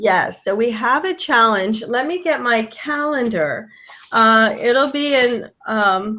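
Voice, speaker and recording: A bright, sharp tone with lively intonation at a very slow pace. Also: woman, fairly high pitch for a woman. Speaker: horse trail trainer. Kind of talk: live online info session.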